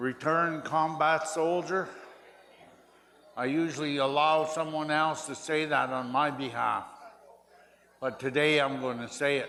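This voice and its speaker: Audible room echo surrounds a monotone voice with flat intonation. The pace is fairly slow, with long, frequent pauses. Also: man, fairly high pitch for a man. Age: 70s. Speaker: war veteran and elder. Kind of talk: speech at powwow.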